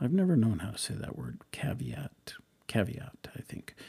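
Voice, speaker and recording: Somewhat breathy, a man speaks at a medium pitch with an American accent. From eastern Washington, US. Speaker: church speaker preparing a talk. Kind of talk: reading aloud draft talk notes. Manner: halting.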